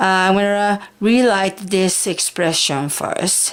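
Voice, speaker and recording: The speaker is a woman. She talks with a Japanese accent. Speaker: high school math teacher. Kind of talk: math tutorial lesson.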